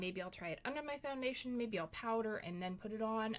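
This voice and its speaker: Lively intonation from a woman at a fairly high pitch, moving at a fairly quick pace. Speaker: beauty vlogger. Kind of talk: casual vlog update. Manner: fast.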